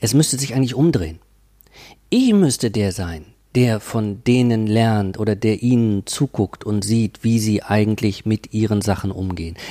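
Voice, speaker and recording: The pace is moderate, with ordinary pitch variation. The recording is very clean, with a silent background. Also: man, fairly low pitch for a man. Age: 50s. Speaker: professor of cultural studies. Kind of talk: interview. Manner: hesitant, many fillers.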